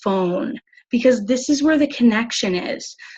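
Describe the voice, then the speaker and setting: Somewhat breathy and animated in tone, a woman speaks at a fairly slow pace with ordinary pitch variation. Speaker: sales team leader. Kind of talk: training call. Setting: video call.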